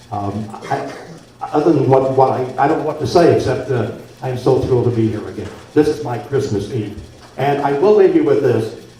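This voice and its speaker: A medium-pitched man with an American accent at a moderate pace, ordinary pitch variation, audible room echo and noticeable background noise. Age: 70s. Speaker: former radio host. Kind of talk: after-dinner speech. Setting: banquet room with audience.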